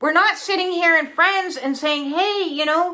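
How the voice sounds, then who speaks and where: On a very clean recording with a silent background, a woman uses a raised, projected voice with a bright, sharp tone and lively intonation. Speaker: spiritual content creator. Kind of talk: casual monologue.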